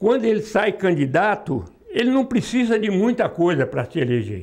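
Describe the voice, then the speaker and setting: At a fairly slow pace, a man talks with a high pitch. His intonation is lively. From Brazil, Mato Grosso do Sul (Três Lagoas). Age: 80s+. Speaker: retired metalworker and union activist. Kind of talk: oral history testimony. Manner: halting.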